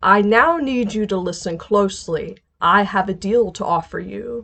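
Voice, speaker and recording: Over a quiet background, a woman uses a put-on character voice. Her pitch is medium and her pace moderate. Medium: read story. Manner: calm, calculating, menacing.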